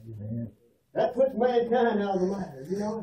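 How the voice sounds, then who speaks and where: A man with a Southern US accent speaks in a high pitch with a dark, mellow tone and ordinary pitch variation, and the room echo is audible. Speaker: preacher. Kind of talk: fire-and-brimstone funeral sermon. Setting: funeral parlor, room recording. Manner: loud, shouting, fervent. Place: hall. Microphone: camera far.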